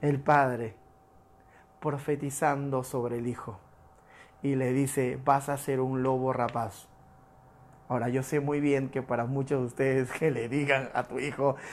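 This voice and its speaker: Long, frequent pauses mark a man's fairly slow speech. His pitch is fairly high. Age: 40s. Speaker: pastor. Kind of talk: sermon. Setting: livestreamed church service.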